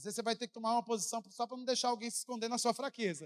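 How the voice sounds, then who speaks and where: At a very fast pace, a high-pitched man talks in an animated tone with a dry, close sound and no echo. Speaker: pastor. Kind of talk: sermon.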